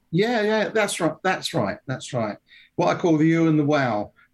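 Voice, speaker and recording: Speaking at a fairly quick pace with a southern English accent, the voice has lively intonation. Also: man. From England, London (Wimbledon). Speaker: gunmaker. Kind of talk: casual interview. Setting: remote call. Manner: halting, many fillers.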